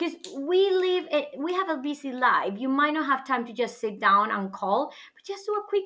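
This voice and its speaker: A woman's high-pitched, raised and projected voice with a bright, sharp tone, very wide pitch swings and a moderate pace. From northwest Spain. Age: 30s. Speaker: podcast guest, international educator. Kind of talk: casual interview chat.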